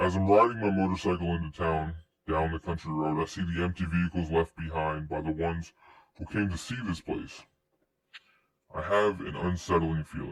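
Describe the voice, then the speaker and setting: The speaker is a man using a put-on character voice. It sits very deep and low. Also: moderate pace. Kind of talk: horror narration. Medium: read story. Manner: ominous.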